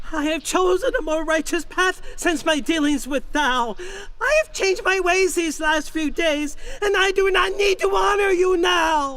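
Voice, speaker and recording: Against clear background noise, a man performs a put-on character voice. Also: moderate pace. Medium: audio drama. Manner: archaic speech, fearful.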